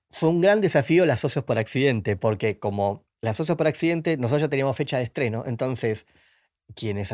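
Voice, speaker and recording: A man with a Rioplatense accent talks at a moderate pace and a medium pitch, with lively intonation. The recording is very clean, with a silent background. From Argentina, Buenos Aires. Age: 40s. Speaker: film director. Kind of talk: interview.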